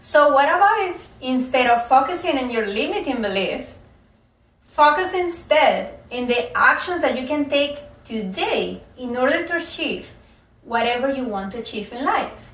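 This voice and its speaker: A woman's high-pitched voice with lively intonation and a non-native accent, amid audible room echo and noticeable background noise. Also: moderate pace. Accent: foreign. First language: not English. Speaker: self-help coach. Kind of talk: motivational talk to camera.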